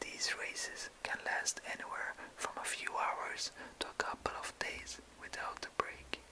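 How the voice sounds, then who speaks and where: A man whispers at a fairly slow pace. Noticeable background noise can be heard. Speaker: ASMR creator. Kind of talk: ASMR reading aloud. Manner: whispered.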